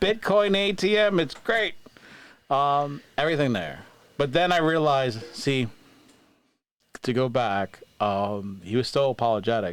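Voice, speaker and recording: Speaking with an American accent, a man moves at a fairly slow pace with a medium pitch, very wide pitch swings, very even loudness and long, frequent pauses. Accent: New York accent, comes out sometimes. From New York. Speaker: podcast host. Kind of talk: casual chat.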